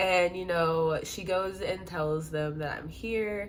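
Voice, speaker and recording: An animated tone with audible room echo. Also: woman. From US Midwest, St. Louis, Missouri. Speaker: exotic dancer, storyteller vlogger. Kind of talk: storytime monologue. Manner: animated, casual.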